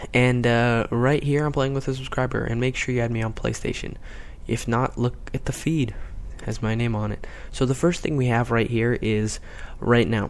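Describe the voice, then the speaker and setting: A man speaks quietly at a medium pitch. His intonation stays fairly even. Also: moderate pace. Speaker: gaming commentator. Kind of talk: video game commentary. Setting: at home, late at night. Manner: quiet, keeping voice down.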